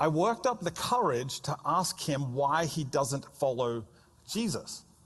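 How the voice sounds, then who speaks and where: Lively in intonation, a man with an Australian accent speaks at a fairly slow pace. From Australia (Melbourne). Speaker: pastor. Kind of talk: sermon.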